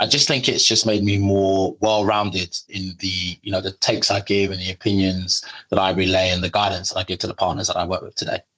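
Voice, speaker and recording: A man with a strong British accent speaks at a fairly quick pace in a fairly low, flat monotone, with hardly any pauses. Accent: heavy British. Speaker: legal marketing manager. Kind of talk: podcast interview. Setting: airport.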